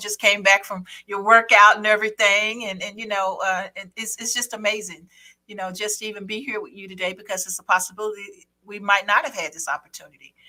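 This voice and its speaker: A woman's unremarkable speaking voice at a medium pitch, with a fairly quick pace and fairly even intonation. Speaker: radio show host. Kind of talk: interview host talk.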